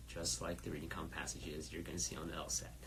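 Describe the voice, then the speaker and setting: A man speaks with vocal fry. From first-generation immigrant, Iranian family. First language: Farsi. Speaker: test prep company founder and instructor. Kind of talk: live Q&A stream. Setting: Instagram live stream. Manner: many fillers and hesitations.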